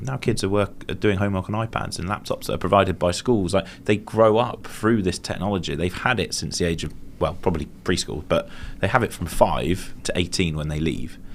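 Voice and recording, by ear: A man speaks at a fairly quick pace and a low pitch. His pitch variation is ordinary.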